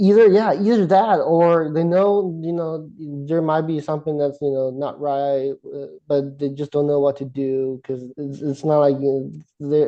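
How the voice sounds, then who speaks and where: Speaking with a non-native accent, a man uses a fairly high pitch with ordinary variation. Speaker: grad student with depression. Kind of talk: interview. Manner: halting, many repetitions.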